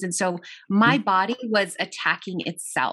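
A woman speaks at a moderate pace in an ordinary speaking voice of medium pitch. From US, child of Italian and Argentine immigrants. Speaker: minister and personal trainer, author. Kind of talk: casual interview.

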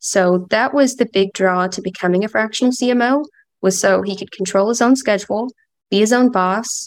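Speaking with an Appalachian accent, a woman uses a fairly high pitch and fairly even intonation at a moderate pace. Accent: US Southern (Appalachian). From Kentucky, Appalachia. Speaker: sales call team member. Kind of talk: casual interview. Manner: relaxed.

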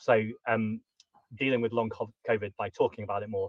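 A man speaks at a fairly low pitch, somewhat breathy, with monotone, flat intonation. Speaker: Green Party politician. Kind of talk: interview.

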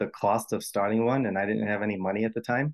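A man speaks with a Rhode Island accent. His pitch is fairly low and his intonation fairly even. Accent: Rhode Island, New England. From US Northeast, Rhode Island. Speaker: healthcare imaging worker. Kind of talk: advice call-in conversation.

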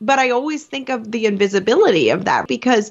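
A woman speaks in a normal speaking voice with an American accent. Her intonation is lively and her pace is moderate. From Venezuela, raised in the US. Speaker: business coach, former nurse. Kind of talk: interview conversation.

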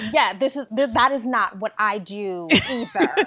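Noticeable background noise accompanies a woman talking at a fairly slow pace. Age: 20s. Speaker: digital media founder and writer. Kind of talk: casual interview.

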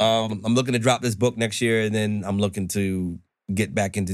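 A man with an American accent speaks at a fairly quick pace in an unremarkable speaking voice, his pitch fairly low with ordinary variation, on a very clean recording with a silent background. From New York. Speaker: chef. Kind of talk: casual chat.

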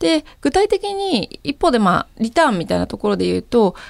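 A woman talks at a moderate pace. The recording is very clean with a silent background and a dry, close sound with no echo. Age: 30s. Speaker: startup founder and CEO. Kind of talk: interview.

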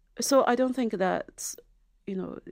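In a Chinese accent, a woman speaks at a moderate pace. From China, Zhejiang. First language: Mandarin Chinese. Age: 40s. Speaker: novelist and filmmaker. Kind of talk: interview. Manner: halting.

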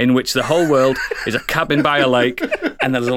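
A natural voice reading aloud

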